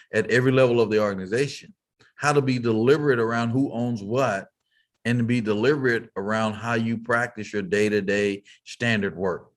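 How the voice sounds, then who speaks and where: An unremarkable speaking voice with an American accent, fairly quick in pace and fairly even in intonation. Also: man. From Texas, Fort Worth. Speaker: business leader and keynote speaker. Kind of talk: interview.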